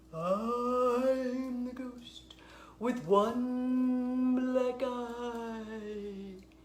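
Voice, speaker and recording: A put-on character voice over clear background noise. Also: female-sounding voice, high pitch for a woman. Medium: read story.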